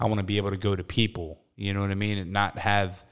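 An unremarkable speaking voice from a man, fairly low in pitch and fairly quick, on a very clean recording with a silent background. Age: 40s. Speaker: podcast co-host. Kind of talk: casual chat.

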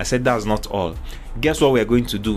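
Music behind speech delivered at a moderate pace. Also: man. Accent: Nigerian. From Nigeria, eastern. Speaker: leadership speaker. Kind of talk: talk. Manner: hesitant, frequent ums.

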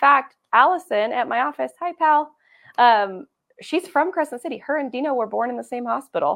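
With a Pacific Northwest accent, a woman talks at a high pitch with ordinary pitch variation. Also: moderate pace. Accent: Pacific Northwest American. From Eastern Oregon (Cove, La Grande). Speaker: real estate agent. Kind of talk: casual chat.

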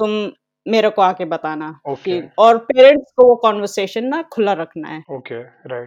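A woman's medium-pitched voice at a moderate pace, with very wide pitch swings and big swings in loudness. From northern India (Dehradun, Kashmir). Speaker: abuse survivor and social worker. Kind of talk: personal testimony interview.

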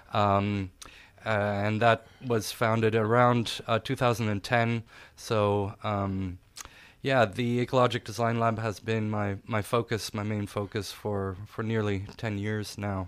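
Speaking at a fairly slow pace with a German accent, a man keeps his fairly low pitch in a monotone, flat intonation. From Austria. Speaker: architect. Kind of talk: interview. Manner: halting, many fillers.

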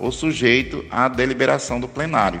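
Medium-pitched male speech, moderately paced, amid noticeable background noise. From Brazil, Northeast (Pedra, Pernambuco area). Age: 50s. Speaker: former city councillor and accountant. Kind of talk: interview. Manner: formal.

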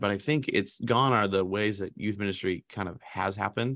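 With a quiet background, a man in an unremarkable speaking voice talks at a fairly low pitch with ordinary pitch variation. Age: 30s. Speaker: youth pastor, podcast co-host. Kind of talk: casual chat.

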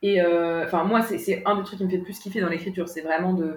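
The woman's voice sits at a medium pitch with fairly even intonation. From France, Paris region (Yvelines). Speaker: writer, guest. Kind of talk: casual interview conversation. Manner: hesitant, many fillers.

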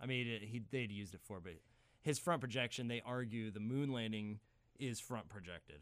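Speaking at a fairly quick pace, a man uses a medium pitch with ordinary pitch variation in a plain, everyday voice. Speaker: film professor. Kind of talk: casual chat.

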